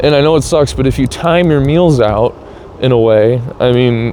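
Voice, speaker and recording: Against noticeable background noise, a man talks at a moderate pace in a medium pitch. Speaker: vlogger. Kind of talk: casual monologue. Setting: outdoors on a scooter.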